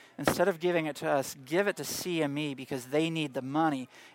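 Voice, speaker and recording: A man with an American accent, fairly high pitch and ordinary pitch variation at a moderate pace, on a very clean recording with a silent background. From US South, Tennessee. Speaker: Bible class teacher. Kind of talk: lecture.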